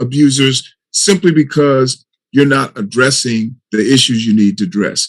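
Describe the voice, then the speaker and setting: A man's normal speaking voice, fairly high in pitch, with ordinary pitch variation and a fairly slow pace. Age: 60s. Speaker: panelist on mental health. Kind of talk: panel discussion.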